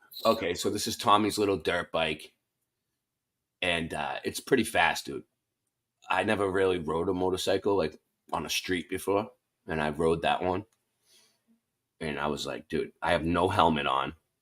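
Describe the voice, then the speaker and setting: A man with a Boston accent and a very deep, low pitch, animated in tone with ordinary pitch variation and long, frequent pauses, on a very clean recording with a silent background. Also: moderate pace. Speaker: online show host. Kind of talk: casual chat.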